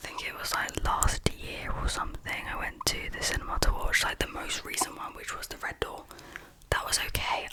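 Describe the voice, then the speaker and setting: Someone is whispering at a fairly quick pace. Noticeable background noise is present. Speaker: ASMR creator. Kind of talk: ASMR chit chat. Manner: whispered.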